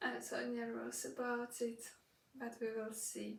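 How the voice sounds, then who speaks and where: A somewhat breathy woman's voice with a Russian accent, in a room with audible echo. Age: 20s. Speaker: au pair vlogger. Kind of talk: casual vlog talk. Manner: halting, many fillers.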